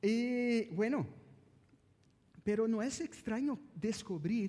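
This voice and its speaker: A man speaks with a Brazilian accent. His tone is dark and mellow. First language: Portuguese (speaking Spanish). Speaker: pastor. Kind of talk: sermon. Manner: halting.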